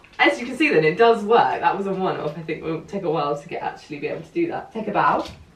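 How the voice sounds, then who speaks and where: A woman of medium pitch with a southern English accent and an animated tone, amid audible room echo and noticeable background noise. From southeast England, Bromley. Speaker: vlogger. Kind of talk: casual chat.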